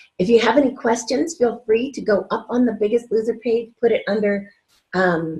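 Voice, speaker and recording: Her voice is fairly high and somewhat breathy, with ordinary pitch variation. The woman speaks at a moderate pace. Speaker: weight-loss coach. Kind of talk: recorded video class. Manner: quiet; casual, upbeat.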